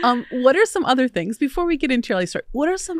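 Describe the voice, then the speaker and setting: A woman with an American accent, dry and close with no echo, on a very clean recording with a silent background. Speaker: podcast host. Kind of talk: interview. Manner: fast.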